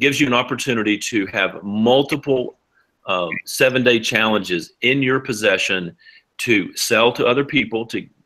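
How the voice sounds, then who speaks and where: A man at medium pitch, bright and sharp in tone, with ordinary pitch variation. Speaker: hemp oil business distributor. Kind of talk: sales pitch. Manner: fast.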